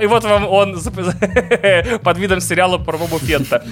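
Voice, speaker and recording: With noticeable background noise behind him, a man speaks in an animated tone at a high pitch with lively intonation. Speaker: podcast co-host. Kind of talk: casual chat.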